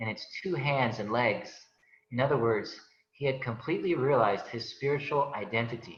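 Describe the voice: Ordinary pitch variation in plain reading aloud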